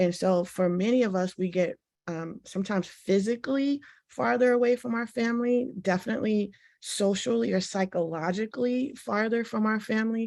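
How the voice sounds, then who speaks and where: Against a quiet background, a woman with a normal speaking voice and medium pitch talks at a fairly quick pace with lively intonation. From Washington, D.C. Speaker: panelist, academic. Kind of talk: panel discussion. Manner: conversational, many filler words.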